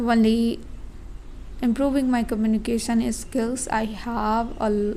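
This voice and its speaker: With a non-native accent, a woman speaks at a fairly slow pace and fairly high pitch, her intonation monotone and flat, amid audible room echo. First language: not English. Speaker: vlogger and English learner. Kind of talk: casual vlog monologue. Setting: indoors at home. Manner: halting.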